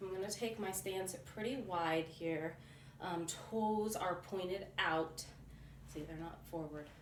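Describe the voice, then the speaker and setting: Audible room echo surrounds a woman speaking at a medium pitch. She talks very slowly. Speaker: fitness vlogger. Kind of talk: workout tutorial. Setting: at home. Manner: loud.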